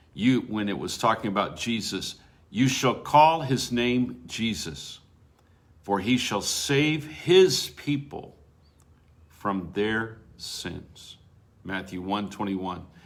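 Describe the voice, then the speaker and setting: In a room with audible echo, a man at a medium pitch speaks very slowly, his intonation lively. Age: 70s. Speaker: preacher. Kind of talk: devotional Bible teaching.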